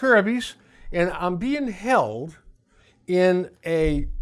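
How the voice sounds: Very slow pace paired with lively intonation. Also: man, high pitch for a man.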